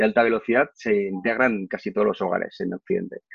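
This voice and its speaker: In a dry, close recording with no echo, a man at medium pitch speaks with very wide pitch swings. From Spain, Barcelona. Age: 40s. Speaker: corporate trainer. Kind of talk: testimony. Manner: halting, frequent fillers and repeated words.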